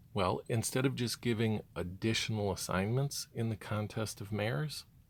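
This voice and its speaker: The recording is very clean with a silent background, and an ordinary speaking voice moves at a moderate pace with ordinary pitch variation. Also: man, fairly low pitch for a man. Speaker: gaming youtuber. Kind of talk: rant.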